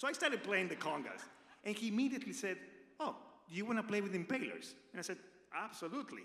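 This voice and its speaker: A man with an Argentine accent, high in pitch with lively intonation, at a very fast pace broken by long, frequent pauses, in audible room echo. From Argentina. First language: Spanish. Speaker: radio personality. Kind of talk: tribute speech. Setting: stage with audience.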